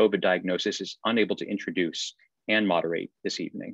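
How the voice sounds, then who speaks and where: A man at a fairly quick pace, dry sound with no echo, quiet background. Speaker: associate dean hosting event. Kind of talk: formal event introduction. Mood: warm, welcoming. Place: office. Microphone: video call.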